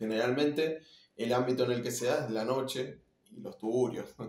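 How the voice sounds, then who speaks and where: This man's voice is somewhat breathy and medium in pitch. He keeps a moderate pace, and his pitch varies in an ordinary way. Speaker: rock musician, bass player. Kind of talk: casual interview.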